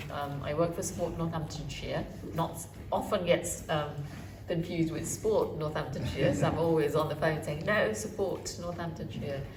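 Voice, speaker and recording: Against music in the background and audible room echo, a woman with a very deep, low pitch talks at a moderate pace with ordinary pitch variation. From Uganda, raised in Wellingborough, England. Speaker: community charity worker. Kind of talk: panel talk. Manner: hesitant, many fillers.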